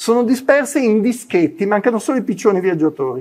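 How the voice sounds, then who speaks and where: A high-pitched man's voice with lively intonation. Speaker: physician and clinical psychology lecturer; clinical psychology lecturer. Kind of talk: conference talk. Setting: university lecture hall, in person and online. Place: classroom. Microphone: lapel.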